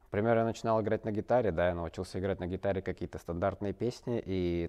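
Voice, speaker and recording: Against a quiet background, a man with a very deep, low voice talks very fast with fairly even intonation. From Russia, Barnaul; Russia. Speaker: ice hockey player; interview guest. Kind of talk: interview. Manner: halting, many fillers. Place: studio.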